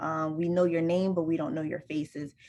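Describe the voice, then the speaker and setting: Speaking at a fairly quick pace, a woman uses a fairly low voice. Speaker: college student success advisor. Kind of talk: online workshop presentation. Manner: fast.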